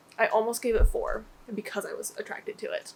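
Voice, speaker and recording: There is noticeable noise in the background. A woman speaks at a moderate pace. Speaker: booktuber. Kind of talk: casual vlog talk. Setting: home office. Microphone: echoey room.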